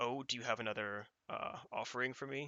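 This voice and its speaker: A man puts on a character voice at a medium pitch, talking at a fairly quick pace. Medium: actual play. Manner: hesitant, halting.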